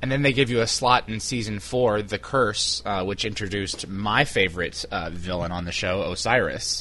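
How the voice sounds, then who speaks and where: In a normal speaking voice, a man talks with hardly any pauses and ordinary pitch variation. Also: fairly low pitch for a man, moderate pace. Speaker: interviewer for fan website. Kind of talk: casual phone interview.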